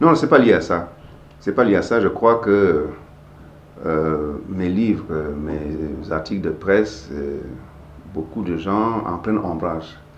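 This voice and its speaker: A man with a very deep, low pitch talks at a very slow pace, with long, frequent pauses. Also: ordinary pitch variation. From Cameroon. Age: 60s. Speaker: writer and civil rights activist. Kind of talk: interview answer.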